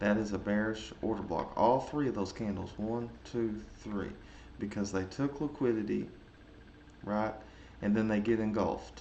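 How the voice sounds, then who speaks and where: A man's dark, mellow tone at a fairly low pitch, with ordinary pitch variation, a moderate pace and audible room echo. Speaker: trading educator. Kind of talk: tutorial. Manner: casual; halting, many fillers.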